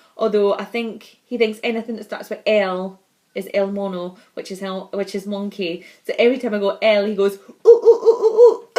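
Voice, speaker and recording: A woman speaks with a Scottish accent. Her loudness swings widely from moment to moment. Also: moderate pace. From Scotland. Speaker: vlogger, mother. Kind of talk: casual vlog monologue.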